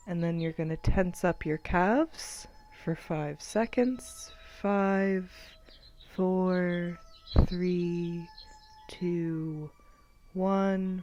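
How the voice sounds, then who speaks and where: A woman's dark, mellow, calm voice at medium pitch, very slow pace with long, frequent pauses and ordinary pitch variation. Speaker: student society member. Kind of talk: guided meditation. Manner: calm, slow.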